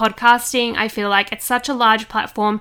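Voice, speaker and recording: A woman with an Australian accent, a bright, sharp tone and monotone, flat intonation. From Australia, Sydney. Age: 20s. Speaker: podcast host. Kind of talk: casual monologue.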